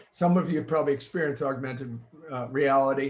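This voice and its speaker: This man speaks very fast in an American accent. His voice is fairly high and somewhat breathy. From US Midwest, Chicago. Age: 70s. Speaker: futurist and keynote speaker. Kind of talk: virtual keynote presentation. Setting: home green screen studio, recorded online.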